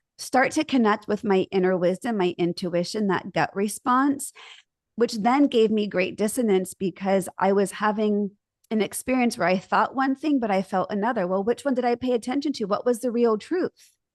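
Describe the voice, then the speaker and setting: A woman with a normal speaking voice talks at a moderate pace with ordinary pitch variation and very even loudness, in a dry, close sound with no echo over a quiet background. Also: fairly high pitch for a woman. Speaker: marriage and family therapist. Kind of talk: interview conversation.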